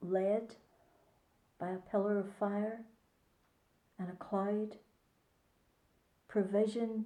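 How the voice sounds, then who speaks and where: A woman's medium-pitched, dark, mellow voice with a Northern Irish accent, flat monotone intonation, a very slow pace and long, frequent pauses. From Northern Ireland (Ballycarry, County Antrim). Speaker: church pastor and chaplain. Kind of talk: devotional reflection to camera.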